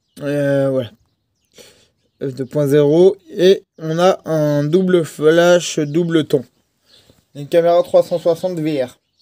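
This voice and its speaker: A man at a fairly high pitch with a dark, mellow tone, fairly even intonation, a very slow pace and long, frequent pauses. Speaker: tech reviewer. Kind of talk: product review.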